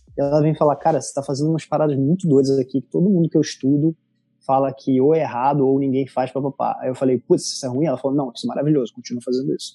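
Talking very fast with a strong Rio de Janeiro accent, a man with a fairly high pitch and a dark, mellow tone swings widely in loudness, recorded dry and close with no echo. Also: fairly even intonation. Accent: strong carioca. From Rio de Janeiro, Brazil. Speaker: designer and content creator. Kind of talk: casual interview chat.

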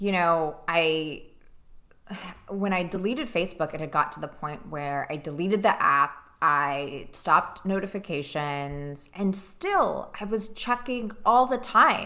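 A woman's fairly low, bright, sharp voice with lively intonation at a fairly slow pace. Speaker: podcast co-host. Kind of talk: casual chat. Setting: studio, wearing earbuds.

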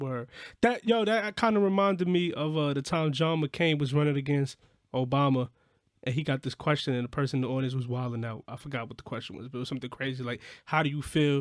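A man with an American accent talks at a fairly quick pace in a fairly high pitch, with lively intonation and an unremarkable speaking voice. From New York. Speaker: podcast co-host and musician. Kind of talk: casual chat.

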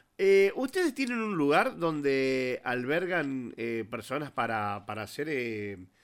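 A man at a fairly slow pace with lively intonation, in a very clean recording with a silent background. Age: 50s. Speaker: radio host. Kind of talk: radio interview. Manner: halting, hesitant.

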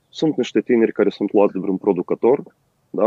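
A man with a fairly low, dark, mellow voice and a Moldovan accent, fairly quick, in a dry, close sound with no echo. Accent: Moldovan Romanian. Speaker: rock musician. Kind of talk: casual interview. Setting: remote call.

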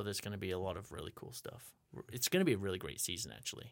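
On a very clean recording with a silent background, a man speaks with vocal fry and lively intonation. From northern England, West Yorkshire. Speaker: theater director and actor. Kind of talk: casual interview.

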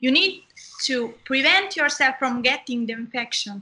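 A woman with an Italian accent projects her raised voice at a moderate pace. Her tone is bright and sharp, and her pitch is high. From southern Italy. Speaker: medical student. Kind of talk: interview. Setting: video call.

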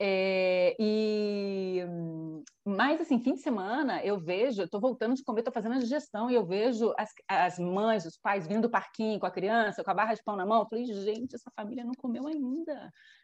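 Against a quiet background, a woman with a fairly high pitch and an unremarkable speaking voice talks at a moderate pace with ordinary pitch variation. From Brazil, Rio de Janeiro. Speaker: engineer, immigrant in Spain. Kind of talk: casual chat.

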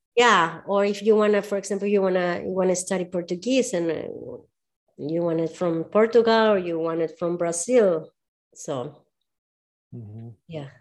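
In a Spanish accent, a woman at medium pitch talks at a moderate pace with ordinary pitch variation, big swings in loudness, and long, frequent pauses against a quiet background. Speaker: movement and strength coach. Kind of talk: casual conversation.

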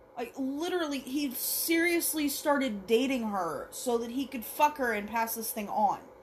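Her pitch high with ordinary variation, a woman talks at a fairly slow pace. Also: big swings in loudness. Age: 30s. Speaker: horror movie reaction podcaster. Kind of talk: movie reaction commentary. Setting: alone in home basement. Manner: animated.

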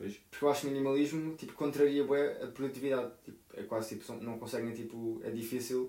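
A man talks at a very fast pace with hardly any pauses, his dark, mellow tone swinging widely in loudness over fairly even intonation. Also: medium pitch for a man. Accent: European Portuguese. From Portugal. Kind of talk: casual chat.

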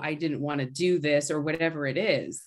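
A plain, everyday voice, a woman speaks at a moderate pace with fairly even intonation and a Canadian accent. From Canada. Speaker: actor and artist. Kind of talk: casual chat.

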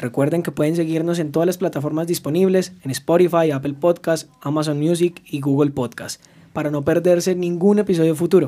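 A man with a normal speaking voice and a fairly high pitch talks at a fairly quick pace. His intonation is fairly even, with hardly any pauses. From Colombia, Arauca (Llanos region). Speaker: podcast host, legal psychology. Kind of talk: casual chat; scripted intro/outro.

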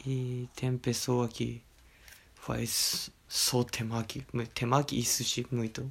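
A man speaks at a very slow pace with a Japanese accent, his pitch medium and his voice somewhat breathy. His intonation stays flat and monotone. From Japan, Okayama. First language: Japanese (speaking Portuguese). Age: 20s. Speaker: teacher. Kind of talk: casual interview. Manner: halting.

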